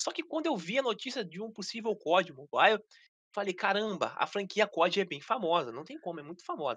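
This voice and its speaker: Projecting a raised voice, a man speaks fairly quickly in a bright, sharp tone. His pitch swings very widely over a quiet background. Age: 30s. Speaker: gaming youtuber; podcast guest, mobile game content creator. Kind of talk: casual interview chat; interview answer. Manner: halting, repeats words. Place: home room. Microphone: video call.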